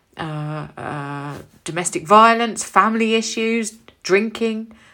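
The voice comes with an English accent. The recording is very clean, with a silent background. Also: woman. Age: 40s. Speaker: beauty business owner and podcast host. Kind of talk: casual monologue.

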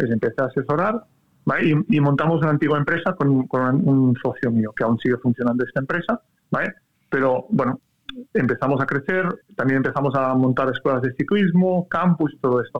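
A man with a plain, everyday voice, fairly high pitch, ordinary pitch variation, very even loudness and a fairly quick pace. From Catalonia, Spain. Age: 30s. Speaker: cycling coach. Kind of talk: interview conversation.

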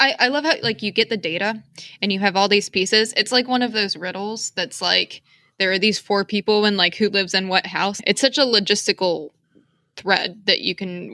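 A woman's bright, sharp voice at medium pitch with an American accent, dry and close with no echo, on a very clean recording over a silent background, with ordinary pitch variation and a fairly quick pace. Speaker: podcast host, novice herper. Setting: at home packing, background noise. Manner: hyper, excited.

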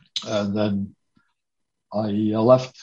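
A somewhat breathy male voice. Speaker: retired computer programmer. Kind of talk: casual chat.

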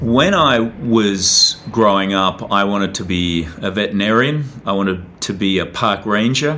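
A man with an Australian accent talks with hardly any pauses, his pitch fairly low. Noticeable background noise sits behind him. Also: ordinary pitch variation, fairly slow pace. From Australia, Tasmania. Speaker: documentary filmmaker. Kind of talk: interview.

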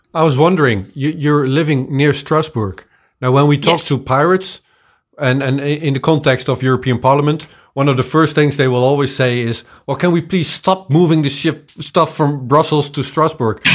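A plain, everyday voice from a man, pitched fairly high and fairly even in intonation. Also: moderate pace. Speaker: interviewer and pirate party member. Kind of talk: interview.

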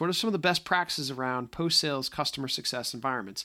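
A man with a slight Boston accent talks at a very fast pace with lively intonation and a bright, sharp tone, on a very clean recording with a silent background. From Boston area, US Northeast. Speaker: podcast host, tech solutions executive. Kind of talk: casual solo podcast monologue. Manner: filler-heavy, conversational.

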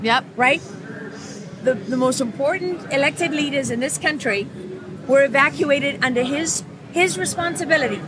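A woman's high, animated voice at a moderate pace, full of very wide pitch swings and long, frequent pauses, over noticeable background noise. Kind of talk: impassioned interview. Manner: animated, blunt.

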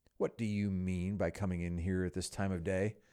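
A man uses a put-on character voice, gruff and growling, with a very deep, low pitch and a monotone, flat intonation. He talks at a fairly quick pace and very even loudness in a very clean recording with a silent background. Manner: feigned sternness.

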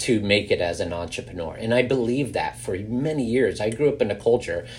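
A man's fairly low voice with an American accent, lively intonation and a fairly quick pace.

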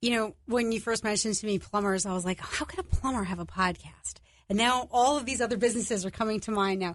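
A woman with a New York accent speaks over a quiet background. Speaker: podcast producer. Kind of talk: radio interview. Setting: studio.

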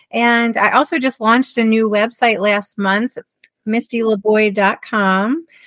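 Recorded with a dry, close sound and no echo, a woman with a plain, everyday voice speaks at a fairly slow pace with a fairly high pitch, fairly even intonation, and very even loudness. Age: 40s. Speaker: self-love and confidence coach. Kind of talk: interview.

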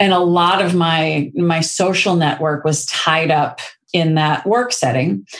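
With an American accent, a woman speaks at a fairly low pitch and very even loudness over noticeable background noise. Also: ordinary pitch variation, fairly slow pace. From St. Louis, US Midwest.

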